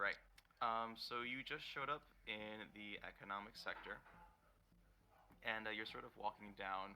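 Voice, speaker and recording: Speaking at a moderate pace with long, frequent pauses, a man uses a fairly low pitch, a bright, sharp tone and fairly even intonation. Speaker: dungeon master for a tabletop game. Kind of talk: tabletop role-play game narration. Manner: quiet, no shouting.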